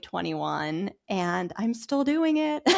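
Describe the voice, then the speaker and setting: With an American accent, the speaker goes at a very slow pace on a very clean recording with a silent background. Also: woman. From Pennsylvania, US. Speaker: health coach. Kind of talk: casual chat.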